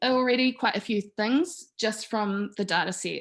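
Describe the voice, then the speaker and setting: This is a woman speaking. She talks with a New Zealand accent. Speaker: PhD student giving a talk. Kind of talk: academic talk. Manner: hesitant, many fillers.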